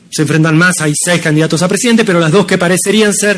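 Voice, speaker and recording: The man speaks very fast with ordinary pitch variation, his voice carrying audible room echo over noticeable background noise. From Argentina. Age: 60s. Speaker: professor and civil servant. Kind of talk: conference talk.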